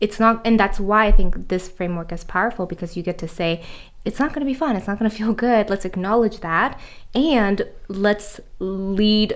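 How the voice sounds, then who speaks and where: A woman with a medium pitch speaks at a moderate pace, her pitch varying in an ordinary way. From South Korea, moved to US at 11. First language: Korean. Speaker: author and life coach. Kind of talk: interview conversation.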